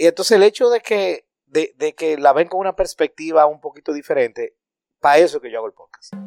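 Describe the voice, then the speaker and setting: Very fast and animated, a man speaks with ordinary pitch variation. The recording is very clean with a silent background and a dry, close sound with no echo. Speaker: podcaster. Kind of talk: casual chat. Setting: recording away from studio, at home.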